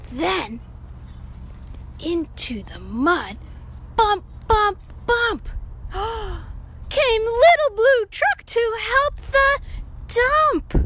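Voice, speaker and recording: Amid clear background noise, a female-sounding put-on character voice speaks very slowly at an extremely high pitch, with long, frequent pauses. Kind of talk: children's read-aloud. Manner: upbeat, animated.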